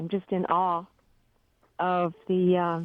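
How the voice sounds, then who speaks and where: Here a woman is speaking. She goes at a very slow pace. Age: 60s. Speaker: caller. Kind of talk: phone-in call. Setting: phone call. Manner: halting.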